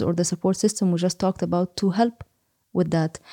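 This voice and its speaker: A woman with an Egyptian accent, medium in pitch and dark and mellow in tone, her intonation fairly even, in a dry, close sound with no echo on a very clean recording with a silent background. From Egypt, Cairo. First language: Arabic. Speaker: psychology researcher and lecturer. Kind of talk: interview. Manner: halting, many fillers.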